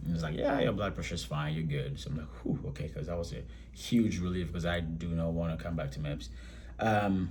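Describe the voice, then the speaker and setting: In a Ghanaian accent with vocal fry, a man speaks at a moderate pace amid audible room echo. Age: 30s. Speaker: vlogger, military recruit. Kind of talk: casual vlog. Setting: hotel room. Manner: halting, many fillers.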